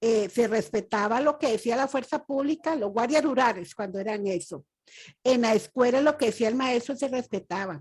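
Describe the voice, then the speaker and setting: A woman's ordinary speaking voice, fairly high in pitch, with lively intonation at a moderate pace against a quiet background. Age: 60s. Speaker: audience member. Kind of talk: testimony.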